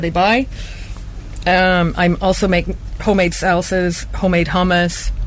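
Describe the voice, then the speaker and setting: Amid noticeable background noise and audible room echo, a woman speaks. Her medium-pitched voice has monotone, flat intonation. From Canada. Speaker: small business owner, cook. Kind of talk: radio interview.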